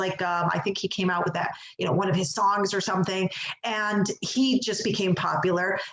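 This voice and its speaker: A woman with a Chicago accent talks at a medium pitch amid noticeable background noise and audible room echo. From Chicago, US Midwest. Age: 40s. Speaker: executive coach. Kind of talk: interview.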